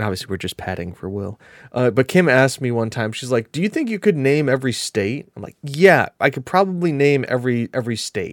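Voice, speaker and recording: A man with an American accent speaks at a medium pitch in an animated tone, with very wide pitch swings. The recording is very clean, with a silent background. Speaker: gaming podcast co-host. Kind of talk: casual chat.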